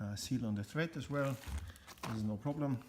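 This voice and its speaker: The speaker is a man with a German accent. His intonation rises and falls in the usual way. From Germany. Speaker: car restoration hobbyist. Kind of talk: tutorial. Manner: halting, many fillers.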